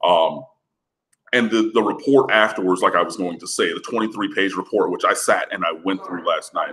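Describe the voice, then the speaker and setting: A man with an American accent speaks over a quiet background. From Michigan. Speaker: college football writer; sports show host. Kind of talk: casual sports talk interview. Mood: argumentative, opinionated. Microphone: webcam.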